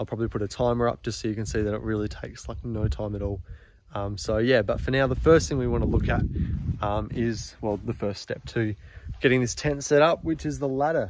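The man speaks at a fairly quick pace. The sound is dry with no echo, though background noise is noticeable. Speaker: gear reviewer. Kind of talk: casual vlog chat. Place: garden. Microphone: phone near.

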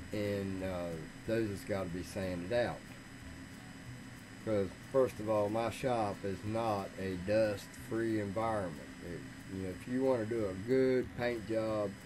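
A man's fairly low voice moves with fairly even intonation and long, frequent pauses. Noticeable background noise sits behind him. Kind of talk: casual workshop tutorial chat. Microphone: studio mic.

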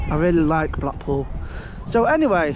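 Crowd noise sits in the background. The speech comes at a moderate pace, in a dry sound with no echo. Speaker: vlogger. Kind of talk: casual vlog chat. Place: beach. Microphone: phone near.

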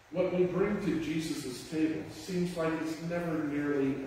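Strong room echo and light background noise surround the recording. A man speaks at a fairly slow pace. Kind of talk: liturgical welcome and introduction. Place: church. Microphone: camera far.

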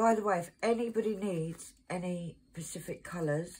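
Her words come out very slowly, and the woman's voice is somewhat breathy. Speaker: craft seller. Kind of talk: casual vlog chat. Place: home room. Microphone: phone near.

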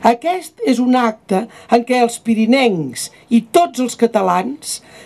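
Speaking at a very slow pace, a woman has a high pitch. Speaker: speaker. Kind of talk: formal public speech. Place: open country. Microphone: podium.

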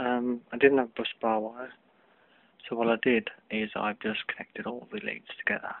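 A man speaks quietly at a moderate pace, with ordinary pitch variation and a dry sound with no echo. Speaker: DIY hobbyist. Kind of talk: tutorial; casual tutorial. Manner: hesitant, many fillers. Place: home room. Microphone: phone near.

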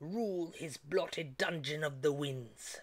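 The speaker puts on a character voice pitched in the middle range. The delivery comes at a fairly slow pace. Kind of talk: epic poetry reading. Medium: read story. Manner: commanding, scolding.

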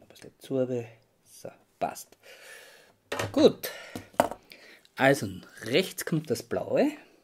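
A man speaks against noticeable background noise. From Austria. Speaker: model railway hobbyist. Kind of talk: tutorial. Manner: halting. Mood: calm, focused. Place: workshop. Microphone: phone near.

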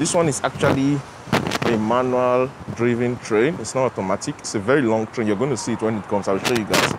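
The speech moves at a fairly quick pace with ordinary pitch variation. The sound is dry with no echo, but loud background noise sits behind it. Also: man. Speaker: travel vlogger. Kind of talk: casual vlog chat. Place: station. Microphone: lapel.

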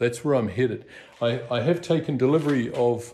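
A man speaks at a moderate pace with a dark, mellow tone. Audible room echo surrounds his voice. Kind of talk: casual vlog chat. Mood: cheerful, upbeat. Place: garage. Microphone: phone near.

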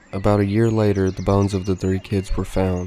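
Over noticeable background noise, a man speaks at a moderate pace with a very deep, low pitch. His intonation is monotone and flat, his tone deadpan. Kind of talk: scripted horror narration. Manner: grave, measured, deadpan storytelling with ominous tone.

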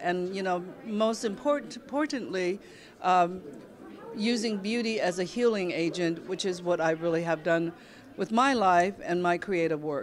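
A woman speaks at a moderate pace with crowd noise in the background. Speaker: interviewee. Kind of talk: interview answer. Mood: enthusiastic, expansive. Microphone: handheld.

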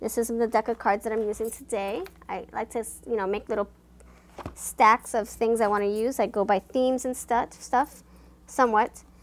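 Against light background noise, a woman speaks at a moderate pace in a monotone, flat intonation. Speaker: tarot card reader. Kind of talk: casual vlog chat. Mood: warm, chatty.

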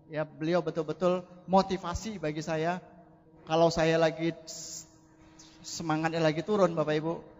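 Over noticeable background noise, a man with a high pitch speaks in a monotone, flat intonation at a moderate pace with long, frequent pauses. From Indonesia, Medan (North Sumatra). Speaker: network marketing distributor. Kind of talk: motivational testimony on stage.

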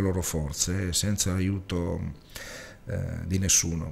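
With fairly even intonation, a man speaks at a very deep, low pitch. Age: 40s. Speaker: web TV producer and interviewer; interviewer. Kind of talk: TV interview. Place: studio. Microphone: studio mic.

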